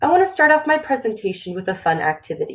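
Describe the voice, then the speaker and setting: A somewhat breathy woman with an American accent, very wide pitch swings and a fairly quick pace. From Phoenix, Arizona, US. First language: Romanian. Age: 20s. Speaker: graduate student presenter. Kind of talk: webinar presentation. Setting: recorded webinar.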